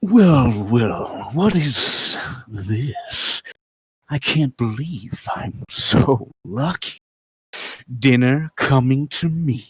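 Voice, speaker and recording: A put-on character voice, low-to-middle in pitch, with a menacing tone at a very slow pace. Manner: gloating, menacing.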